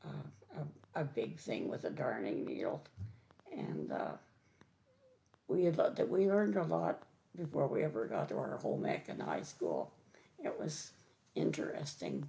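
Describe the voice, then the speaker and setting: A woman with an Ontario accent speaks at a moderate pace, leaving long, frequent pauses. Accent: Canadian (Ontario). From eastern Ontario, Canada. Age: 80s+. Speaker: senior resident sharing childhood memories. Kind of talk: oral history interview. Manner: halting.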